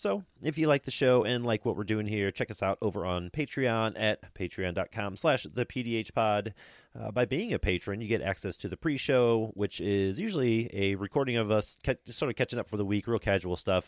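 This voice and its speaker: A man with a normal speaking voice and fairly low pitch talks at a moderate pace with hardly any pauses, in a dry, close sound with no echo. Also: ordinary pitch variation. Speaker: podcast host. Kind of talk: casual chat. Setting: remote recording with co-hosts.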